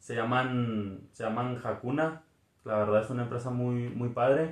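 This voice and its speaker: A man's medium-pitched, a normal speaking voice, fairly slow, with ordinary pitch variation. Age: 20s. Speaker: podcast co-host. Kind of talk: casual chat.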